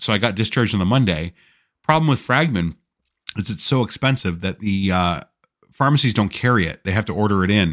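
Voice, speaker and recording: With a Canadian accent and an ordinary speaking voice, a man talks at a fairly quick pace, fairly low in pitch with lively intonation, on a very clean recording with a silent background. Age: 40s. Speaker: patient recounting illness. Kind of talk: casual chat.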